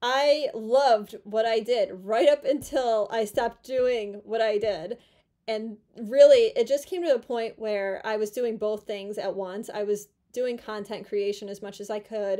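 Over a quiet background, a woman with a fairly high pitch and a dark, mellow tone talks at a fairly slow pace, with ordinary pitch variation and big swings in loudness. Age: 30s. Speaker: YouTuber and former physical therapist. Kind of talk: casual vlog monologue. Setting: at home in her room. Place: home room. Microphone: phone near.

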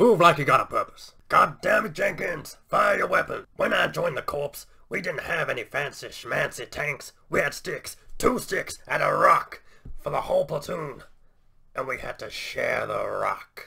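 A man puts on a character voice and keeps it going at a moderate pace. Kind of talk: military barking, comic bravado. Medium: solo performance.

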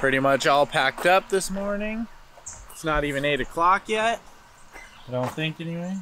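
A man with an American accent talks at a moderate pace in a high pitch with ordinary pitch variation and long, frequent pauses, the sound dry with no echo and light background noise. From Minnesota. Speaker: vlogger. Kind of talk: casual vlog chat. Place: forest. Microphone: phone near.

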